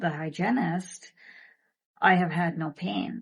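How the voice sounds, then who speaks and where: Speaking at a very slow pace, a woman with a fairly low pitch sounds somewhat breathy and varies her pitch in an ordinary way. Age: 50s. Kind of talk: product testimonial talk to camera.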